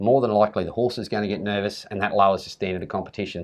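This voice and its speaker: A man with an Australian accent at a very fast pace, fairly low in pitch, with fairly even intonation. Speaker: campdraft judge. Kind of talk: casual chat. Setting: event venue.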